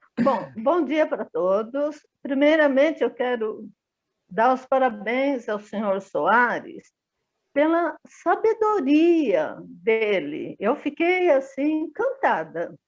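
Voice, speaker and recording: A woman speaks at a very slow pace. Her voice is high and swings very widely in pitch. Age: 70s. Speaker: estate administrator sharing experience. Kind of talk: personal testimony.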